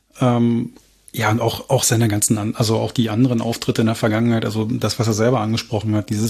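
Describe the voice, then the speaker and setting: A man talks at a moderate pace and medium pitch in a somewhat breathy voice with a dark, mellow tone and monotone, flat intonation. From Berlin. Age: 40s. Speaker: football fan. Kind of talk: casual chat.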